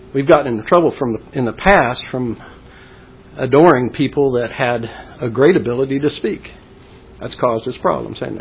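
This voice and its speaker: Over noticeable background noise, the speaker goes at a fairly quick pace with ordinary pitch variation, broken by long, frequent pauses. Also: man, medium pitch for a man. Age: old. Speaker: preacher. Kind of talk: sermon. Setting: church.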